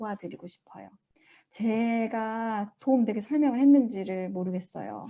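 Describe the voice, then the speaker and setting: A woman's dark, mellow tone at a fairly high pitch, with ordinary pitch variation and a moderate pace. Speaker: school principal presenting research. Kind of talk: Q&A at online research presentation.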